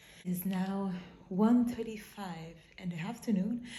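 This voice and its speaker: A somewhat breathy woman's voice at a fairly slow pace, ordinary in pitch variation, with audible room echo. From Quebec. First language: French. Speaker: vlogger. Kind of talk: casual vlog monologue. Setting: outdoors while jogging. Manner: halting, self-correcting.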